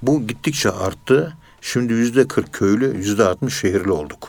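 Moderately paced, a man with an unremarkable speaking voice talks at a medium pitch with ordinary pitch variation. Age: 60s. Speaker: professor of Sufism. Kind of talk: religious radio talk.

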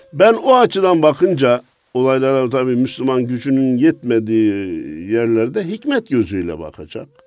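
A man at medium pitch, very wide pitch swings and a moderate pace over music in the background. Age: 60s. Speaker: Islamic religious scholar. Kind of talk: religious talk. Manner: animated.

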